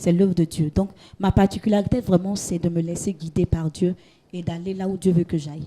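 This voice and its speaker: A woman's somewhat breathy voice, dark and mellow in tone, stays monotone and flat at a moderate pace, recorded dry and close with no echo. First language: Gouro (speaking French). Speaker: gospel singer and hairdresser. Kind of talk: interview. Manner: halting, repeats words.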